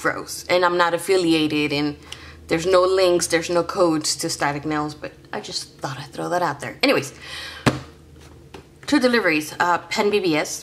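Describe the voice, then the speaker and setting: A fairly low-pitched woman at a moderate pace, with long, frequent pauses, big swings in loudness, ordinary pitch variation and noticeable background noise. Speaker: hobby vlogger. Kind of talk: casual vlog chat. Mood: chatty, self-deprecating.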